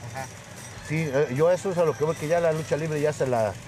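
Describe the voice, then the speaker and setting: Speech comes at a very fast pace with ordinary pitch variation over noticeable background noise. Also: man. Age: 50s. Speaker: professional wrestler. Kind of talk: casual chat. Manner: animated, heavy swearing banter.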